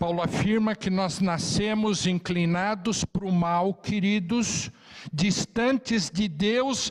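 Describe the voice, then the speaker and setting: Delivered at a very slow pace, the speech has very even loudness and ordinary pitch variation. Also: man, high pitch for a man. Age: 60s. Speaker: Bible class teacher. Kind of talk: Bible class lecture.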